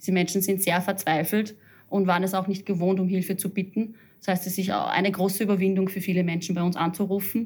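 The delivery is very fast and somewhat breathy. Intonation stays monotone and flat. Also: woman, medium pitch for a woman. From Upper Austria. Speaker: head of a social counselling centre. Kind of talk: interview. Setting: office.

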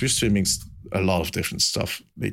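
A man with a Belgian accent speaks at a fairly quick pace. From Belgium. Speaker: podcast host. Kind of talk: casual chat. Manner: animated.

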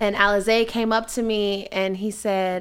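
In a very clean recording with a silent background, a woman with a D.C. accent speaks at a medium pitch in a monotone, flat way. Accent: D.C. area urban American. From Washington D.C. area. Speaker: brand and events manager. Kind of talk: casual interview chat. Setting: studio. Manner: fast talker.

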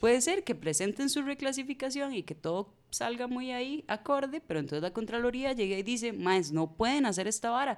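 Spoken at a fairly quick pace with a Costa Rican accent, this is a very clean recording with a silent background. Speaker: community communication activist. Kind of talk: casual panel discussion.

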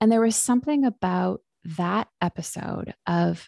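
The background is quiet as a woman speaks fairly slowly, her sound dry and close with no echo. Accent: western Canadian. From Vancouver, western Canada. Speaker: psychologist and author. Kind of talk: interview.

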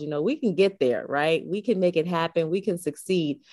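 This woman has an American accent. She talks at a fairly quick pace with lively intonation. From New York, the Bronx. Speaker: author and women's ministry leader. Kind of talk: interview.

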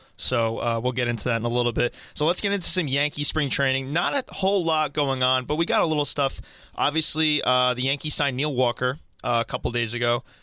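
In a bright, sharp tone, a man with a medium pitch speaks at a very fast pace with very even loudness, on a very clean recording with a silent background. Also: ordinary pitch variation. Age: 20s. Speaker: sports podcast host. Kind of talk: casual chat.

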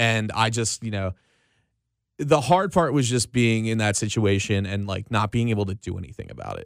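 A man's normal speaking voice, medium in pitch with ordinary pitch variation, at a moderate pace with big swings in loudness, in a very clean recording with a silent background. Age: 20s. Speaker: radio host. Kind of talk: casual chat. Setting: studio.

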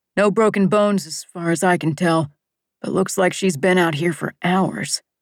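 A natural reading voice, its intonation fairly even, is heard against a quiet background.

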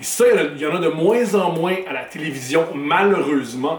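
Amid noticeable background noise and audible room echo, a man with a Quebec accent speaks at a moderate pace and fairly high pitch with lively intonation. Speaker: comedian and podcast host. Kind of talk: podcast intro monologue.

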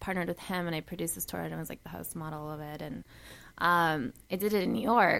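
A woman with a fairly low voice talks very fast in a very clean recording with a silent background. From Bolivia. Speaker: model and actress. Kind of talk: casual radio interview. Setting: radio studio.

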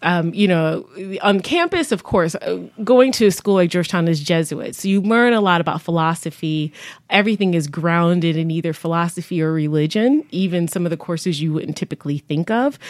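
A woman with a normal speaking voice and a fairly low pitch talks at a fairly quick pace. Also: ordinary pitch variation. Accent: American. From Buffalo, New York. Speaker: health foundation executive. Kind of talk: radio interview. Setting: studio.

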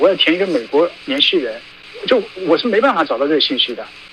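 Very wide pitch swings in a man's voice, with noticeable background noise. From China, Hunan (Qidong county). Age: 30s. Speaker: dissident activist, former journalist. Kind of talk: interview.

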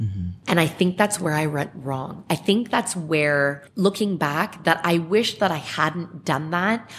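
A woman with a Canadian accent, lively intonation and a fairly slow pace, hardly any pauses, noticeable background noise. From Ontario, Canada (Clarkson, Mississauga). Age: 30s. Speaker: podcast guest. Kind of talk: casual interview.

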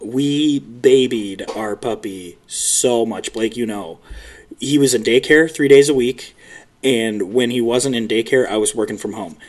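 A man with an American accent talks at a fairly slow pace in a medium pitch, an unremarkable speaking voice. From US Midwest, Chicago. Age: 20s. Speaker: new father. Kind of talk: casual chat.

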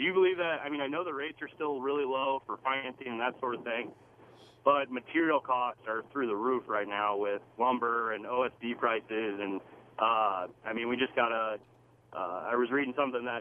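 This man talks at a moderate pace in a plain, everyday voice, his pitch varying in an ordinary way. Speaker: caller; commercial construction worker. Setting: phone call.

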